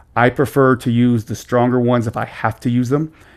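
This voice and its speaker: A man at a medium pitch and a fairly quick pace, on a very clean recording with a silent background. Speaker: gaming tutorial creator. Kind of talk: tutorial. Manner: fast.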